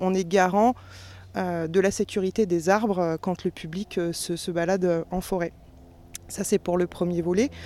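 At a moderate pace, a woman talks at a medium pitch in a dark, mellow tone. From France, Sologne. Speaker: forest manager. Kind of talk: interview.

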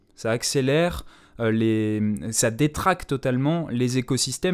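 A normal speaking voice from a man, medium in pitch with ordinary pitch variation, on a very clean recording with a silent background. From Paris. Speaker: radio host. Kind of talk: casual chat.

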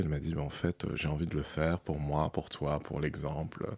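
A man's very deep, low voice with a dry, close sound and no echo. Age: 30s. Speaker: documentary filmmaker. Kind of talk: interview. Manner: hesitant.

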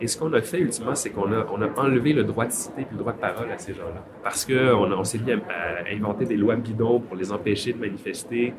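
Over noticeable background noise, a man with a medium pitch and ordinary pitch variation talks at a fairly quick pace with hardly any pauses. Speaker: film director. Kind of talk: recorded interview. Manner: hesitant, with fillers.

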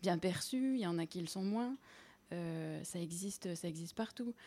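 A woman at medium pitch with a dark, mellow tone, ordinary pitch variation and moderate pace, on a very clean recording with a silent background. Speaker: linguistics lecturer. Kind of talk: academic explanation in radio interview. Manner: measured, hesitant with fillers.

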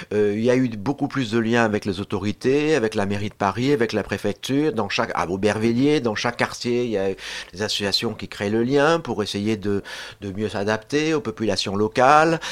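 A man with an unremarkable speaking voice talks at a moderate pace, his fairly low pitch showing ordinary pitch variation. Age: 60s. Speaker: social science researcher and lecturer. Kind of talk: radio panel discussion.

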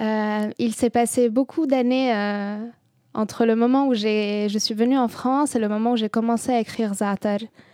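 In an Arabic accent, a woman speaks fairly slowly with a fairly high pitch. Her tone is dark and mellow, her intonation fairly even. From southern Lebanon. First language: Arabic (speaking French). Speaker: poet. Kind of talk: interview. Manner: halting.

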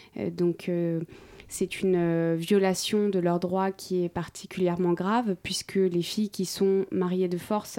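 With a dark, mellow tone, the woman talks in a monotone, flat intonation. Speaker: NGO spokesperson. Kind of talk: radio interview. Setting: radio studio. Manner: hesitant, repeats words.

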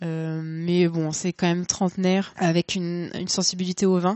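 The speaker is a woman with a medium pitch. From Normandy, Le Havre. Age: 30s. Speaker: wine shop clerk. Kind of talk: interview. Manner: hesitant, many fillers.

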